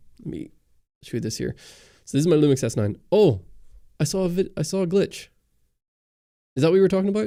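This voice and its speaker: A man's dark, mellow voice at a very fast pace, with lively intonation and long, frequent pauses, on a very clean recording with a silent background. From Northern Ireland. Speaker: camera YouTuber. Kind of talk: livestream Q&A chat. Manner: casual, hesitant with many fillers.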